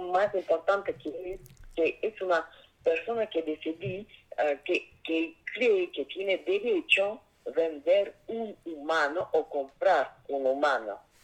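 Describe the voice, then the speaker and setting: In a Russian accent, a woman speaks at a very slow pace. Her pitch is fairly low. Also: ordinary pitch variation. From Russia, Saint Petersburg. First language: Russian (speaking Spanish). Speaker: investigative journalist and author. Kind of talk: interview. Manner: halting, frequent fillers.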